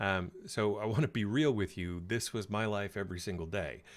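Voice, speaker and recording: On a very clean recording with a silent background, a man speaks with an American accent. His pitch is fairly low with ordinary variation, and his pace is moderate. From United States. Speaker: career coach. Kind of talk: live stream talk. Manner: hesitant with many fillers.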